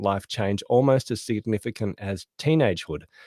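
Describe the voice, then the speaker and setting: This man speaks with a fairly low pitch, ordinary pitch variation and a dark, mellow tone, in a dry, close sound with no echo on a very clean recording with a silent background. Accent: Australian. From Australia. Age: 40s. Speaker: author and productivity consultant. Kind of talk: podcast interview.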